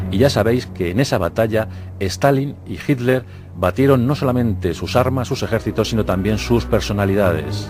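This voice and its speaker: Over background music, a man with a fairly low pitch talks at a moderate pace with lively intonation. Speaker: documentary narrator / radio-TV presenter. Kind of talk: historical documentary narration.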